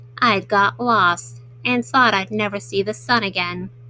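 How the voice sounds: A natural reading voice carries ordinary pitch variation from start to finish.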